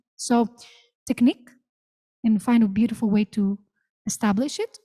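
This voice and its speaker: A woman speaks at a moderate pace in a fairly high, somewhat breathy voice with a dark, mellow tone and fairly even intonation, the sound dry and close with no echo. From Greece. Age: 30s. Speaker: vocalist and music professor. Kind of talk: masterclass Q&A. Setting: theater with audience.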